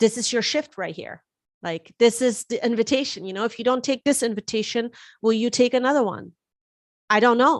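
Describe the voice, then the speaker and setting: A woman with a German accent talks at a fairly quick pace, fairly high in pitch with ordinary pitch variation. The background is quiet. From Germany. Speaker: astrologer and tarot reader. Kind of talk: live-stream forecast talk. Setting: live stream. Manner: casual, with fillers and repetitions.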